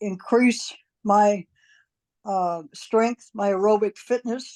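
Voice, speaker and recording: Recorded with a dry, close sound and no echo, a woman with a fairly high pitch and a dark, mellow tone speaks at a very slow pace. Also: quiet background. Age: 70s. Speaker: doctor. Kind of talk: interview answer.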